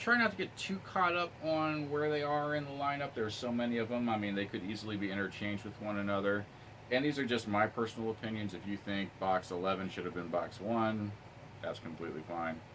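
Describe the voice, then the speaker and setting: A man's fairly low voice with lively intonation at a fairly quick pace. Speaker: YouTube unboxing reviewer. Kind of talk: casual vlog review. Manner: fast.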